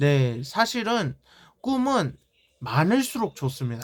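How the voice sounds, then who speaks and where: On a very clean recording with a silent background, the words come at a very slow pace. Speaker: YouTuber. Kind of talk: casual vlog talk to viewers. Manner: occasionally stumbles over pronunciation from nerves.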